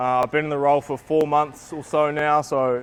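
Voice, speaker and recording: Speaking at a fairly quick pace, a man talks with a New Zealand accent. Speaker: basketball coach developer. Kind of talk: coaching clinic talk. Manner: casual, many fillers.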